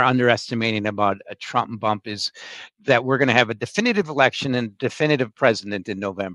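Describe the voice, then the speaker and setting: In a dry, close recording with no echo, a man with a normal speaking voice talks at a fairly quick pace with ordinary pitch variation. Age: 60s. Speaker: market strategist. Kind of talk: interview.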